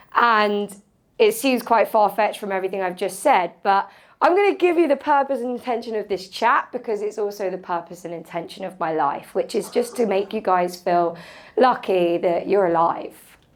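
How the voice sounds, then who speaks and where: Recorded very cleanly against a silent background, a woman speaks at a medium pitch and moderate pace in an animated tone with lively intonation. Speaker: motivational speaker. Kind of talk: talk to a live audience. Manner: animated, casual.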